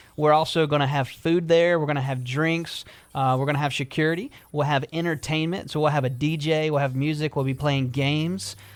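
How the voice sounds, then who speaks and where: Speaking with a South Carolina accent, a man talks at a fairly quick pace. His pitch is fairly high and his intonation fairly even. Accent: Southern US (South Carolina). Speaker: restaurant owner. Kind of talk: radio interview. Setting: radio studio.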